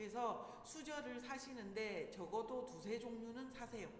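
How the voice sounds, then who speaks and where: A woman with a fairly high pitch speaks in an animated tone, heard with audible room echo and noticeable background noise. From Busan, South Korea. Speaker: parenting instructor. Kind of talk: lecture. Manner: conversational, animated.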